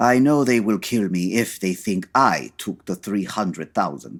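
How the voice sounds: A man puts on a character voice, pitched low, with lively intonation. He talks at a fairly slow pace.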